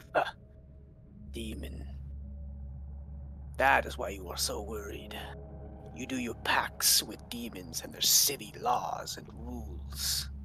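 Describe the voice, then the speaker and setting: A man's put-on character voice, very deep and low in pitch, at a fairly slow pace with long, frequent pauses over clear background noise. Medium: actual play. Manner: cold, measured, aloof.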